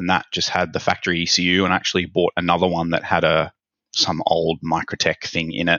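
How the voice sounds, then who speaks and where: A man speaks with an Australian accent. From Australia, Sydney. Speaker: ECU tech support specialist. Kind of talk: interview.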